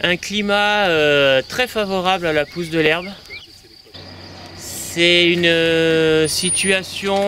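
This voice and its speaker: A man speaks at a very slow pace. Noticeable background noise is audible. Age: 30s. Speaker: dairy farmer. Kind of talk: interview testimony. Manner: hesitant, many fillers.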